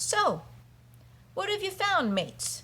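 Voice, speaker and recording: A squeaky, put-on character voice comes through at an extremely high pitch. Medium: read story.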